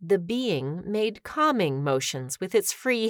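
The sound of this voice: Someone reads here in an unforced reading voice.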